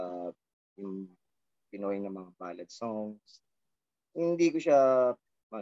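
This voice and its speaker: A man speaks at a very slow pace with long, frequent pauses, a fairly low pitch and a dark, mellow tone. His intonation is lively and his loudness swings widely. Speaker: rock band frontman. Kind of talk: casual interview chat.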